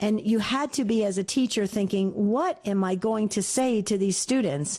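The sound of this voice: A woman speaks at a moderate pace and medium pitch. Her pitch variation is ordinary, and her tone is slightly mellow.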